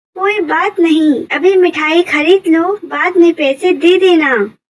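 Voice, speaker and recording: A female-sounding cartoonish character voice pipes up at an extremely high pitch and a fairly slow pace. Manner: sweet, coaxing.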